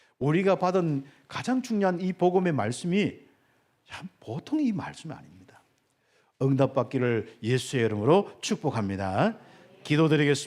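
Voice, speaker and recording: A man with a Gyeongsang accent talks at a moderate pace and fairly high pitch, with long, frequent pauses. His pitch swings very widely and his loudness varies greatly. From Gyeongsang Province, South Korea. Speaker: pastor. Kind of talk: sermon. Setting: church.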